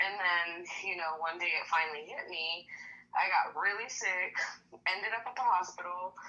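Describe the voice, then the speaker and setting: A woman at a medium pitch with an American accent, at a moderate pace, over noticeable background noise. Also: ordinary pitch variation. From California. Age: 30s. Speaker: patient sharing illness story. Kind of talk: testimony. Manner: casual, lots of filler words.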